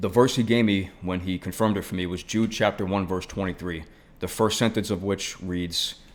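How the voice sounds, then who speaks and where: With a Brooklyn accent, a man speaks in a fairly low pitch and fairly even intonation. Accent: New York (Brooklyn). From New York City (Brooklyn). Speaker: former firefighter turned ministry worker. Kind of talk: personal testimony. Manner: casual, conversational.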